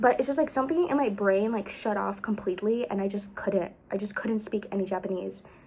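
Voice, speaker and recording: A woman with an American accent speaks at a medium pitch, at a fairly quick pace with hardly any pauses. Her voice is somewhat breathy, with ordinary pitch variation. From United States. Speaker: vlogger. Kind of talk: casual vlog storytelling. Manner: rambling, filler-heavy.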